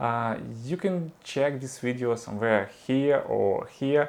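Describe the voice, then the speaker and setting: In a Ukrainian accent, a man speaks at medium pitch. His pitch variation is ordinary. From Ukraine. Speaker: vlogger and 3D artist. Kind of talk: personal vlog monologue. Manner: halting, many fillers.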